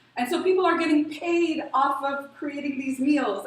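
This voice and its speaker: A woman with a high pitch speaks at a moderate pace amid audible room echo. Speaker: refugee aid worker. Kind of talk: panel talk.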